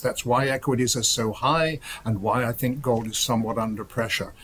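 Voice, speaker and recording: With fairly even intonation and a medium pitch, a somewhat breathy man speaks at a moderate pace. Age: 70s. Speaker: gold market strategist. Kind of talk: TV interview.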